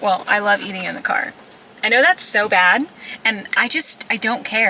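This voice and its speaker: A woman speaks at a medium pitch with ordinary pitch variation amid noticeable background noise. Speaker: lifestyle vlogger. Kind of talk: casual vlog chat to camera. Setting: in a car. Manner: fast; chatty, animated.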